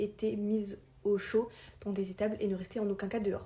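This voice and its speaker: A somewhat breathy woman's voice, fairly high in pitch, with a dark, mellow tone. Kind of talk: informal explainer video. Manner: fast; hesitant, many filler sounds.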